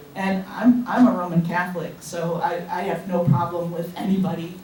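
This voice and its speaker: A woman's fairly low voice, with noticeable background noise and audible room echo. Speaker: knitting guild president. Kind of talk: club meeting announcements. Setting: meeting room with audience, microphone. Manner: loud.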